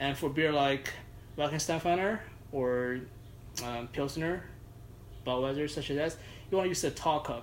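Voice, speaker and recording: A fairly high-pitched man at a fairly slow pace, with ordinary pitch variation and long, frequent pauses. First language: not English. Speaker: judo practitioner and beer enthusiast. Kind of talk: casual chat.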